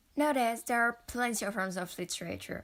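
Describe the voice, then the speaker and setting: A woman speaks with a French accent. Her pace is fairly quick. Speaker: educational YouTuber. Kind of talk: educational talk to camera.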